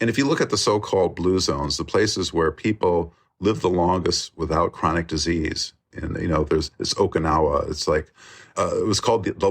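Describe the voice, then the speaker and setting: Fairly quick speech from a man, quiet background behind. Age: 60s. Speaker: documentary filmmaker. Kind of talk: interview conversation. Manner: halting with many fillers.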